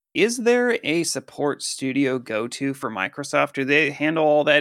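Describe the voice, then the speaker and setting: Over a silent background in a very clean recording, an ordinary speaking voice with an American accent moves at a moderate pace with lively intonation. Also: man. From Colorado. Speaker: gaming podcast co-host. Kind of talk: casual chat. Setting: headset.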